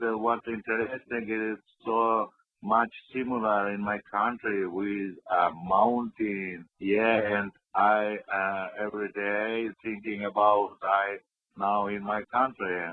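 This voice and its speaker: Speaking in a Central Asian accent, a man uses a monotone, flat intonation at a fairly low pitch. His pace is very slow. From Kyrgyzstan. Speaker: film director. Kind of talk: radio interview. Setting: phone call. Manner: halting, non-fluent English.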